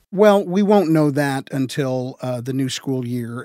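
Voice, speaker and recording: A man with a plain, everyday voice talks at a fairly slow pace, medium in pitch with ordinary pitch variation. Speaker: education reporter. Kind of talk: radio news reporting.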